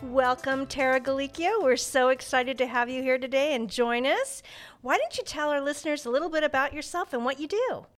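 Over music in the background, a woman talks at a fairly quick pace with a high pitch and ordinary pitch variation. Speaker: podcast host. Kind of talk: casual interview.

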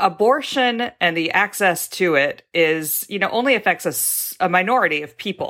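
Her tone is bright and sharp, set at a medium pitch for a woman. She keeps a lively intonation and hardly pauses at all. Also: moderate pace. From US South, Mississippi and Texas. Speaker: journalist. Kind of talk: casual chat. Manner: halting with fillers.

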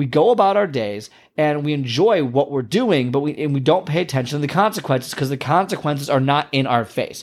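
Against a very clean recording with a silent background, a man talks at a fairly quick pace with hardly any pauses. His fairly high pitch carries lively intonation and an animated tone. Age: 30s. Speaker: podcast host, health coach. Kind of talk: motivational monologue.

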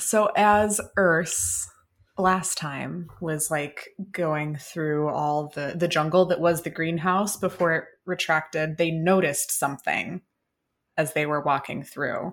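The speaker talks at a very slow pace with fairly even intonation, on a very clean recording with a silent background. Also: woman, fairly low pitch for a woman. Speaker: tabletop RPG player. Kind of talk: actual-play tabletop roleplaying game.

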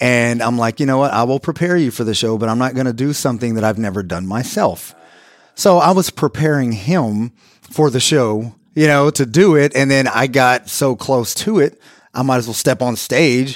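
The recording is very clean, with a silent background. A man talks at a moderate pace in an unremarkable speaking voice with ordinary pitch variation. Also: medium pitch for a man. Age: 40s. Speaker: personal trainer. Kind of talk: casual interview. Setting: studio.

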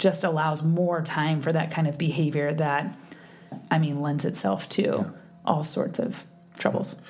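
In an American accent, a woman talks at a fairly slow pace with very deep, low pitch and ordinary pitch variation, keeping her loudness very even. Noticeable background noise and audible room echo are present. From East Texas. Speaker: podcast co-host. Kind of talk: casual chat.

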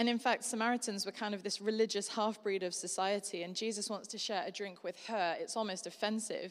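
With hardly any pauses, a woman speaks in a Yorkshire accent with fairly even intonation. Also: medium pitch for a woman, fairly quick pace, very clean recording, silent background. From Yorkshire, northern England. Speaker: guest preacher. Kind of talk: sermon. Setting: church service with live congregation.

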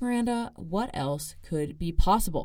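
A woman in an American accent, animated in tone, with lively intonation at a moderate pace. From Arizona, US. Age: 20s. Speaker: podcast host, student. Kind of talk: casual solo monologue. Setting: studio.

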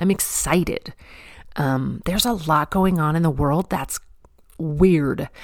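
At a fairly slow pace with long, frequent pauses, a woman speaks in an animated tone with a fairly low pitch and ordinary pitch variation. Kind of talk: devotional talk.

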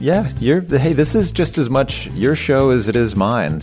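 Over music in the background, a man with a medium pitch speaks fairly slowly, his pitch swinging very widely. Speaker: podcast co-host.

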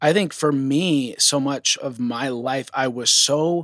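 This man has an unremarkable speaking voice with ordinary pitch variation, recorded dry and close with no echo. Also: very clean recording, silent background. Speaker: podcast host. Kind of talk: casual chat.

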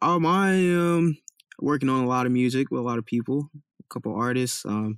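This man has a plain, everyday voice with an American accent, medium pitch, ordinary pitch variation, and a moderate pace, recorded dry and close with no echo. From Compton, California. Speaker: college student. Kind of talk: interview.

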